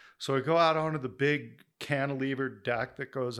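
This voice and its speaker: On a very clean recording with a silent background, a man with a Western US accent speaks at a moderate pace, his medium pitch carried by fairly even intonation. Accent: General American (Western US). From Denver, Colorado. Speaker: community and land planner. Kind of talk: casual interview conversation.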